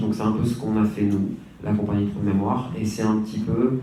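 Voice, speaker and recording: Against noticeable background noise and audible room echo, a man speaks at a fairly low pitch. His pace is moderate and his intonation fairly even. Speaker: hip-hop artist and community worker. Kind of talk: conference talk.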